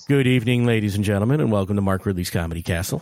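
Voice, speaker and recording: A man speaks in a put-on character voice, booming and fairly low in pitch. His delivery comes at a very fast pace. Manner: booming, grand.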